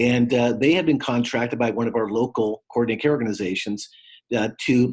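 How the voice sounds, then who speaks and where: A man with a plain, everyday voice talks fairly briskly, pitched mid-range, his intonation fairly level. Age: 60s. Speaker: former state legislator and community trainer. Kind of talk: guest lecture. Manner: frequent fillers, uh and um.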